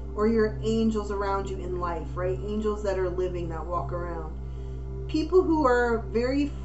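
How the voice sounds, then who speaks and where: With clear music in the background, a woman speaks at a moderate pace. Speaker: intuitive card reader. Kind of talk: card reading commentary. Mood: warm, encouraging.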